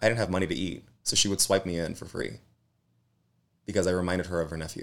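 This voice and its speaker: On a very clean recording with a silent background, a man with an American accent speaks very fast at a very deep, low pitch. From US West Coast, East Los Angeles. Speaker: actor and activist. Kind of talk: interview conversation.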